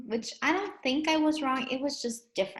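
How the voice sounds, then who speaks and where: A woman speaks with a Spanish accent. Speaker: English language teacher. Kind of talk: educational lesson chat.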